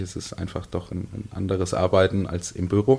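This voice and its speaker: A somewhat breathy man with a very deep, low pitch at a fairly quick pace. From Lower Franconia, Bavaria (Miltenberg district). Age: 30s. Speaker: emergency medical services manager. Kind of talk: interview. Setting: studio.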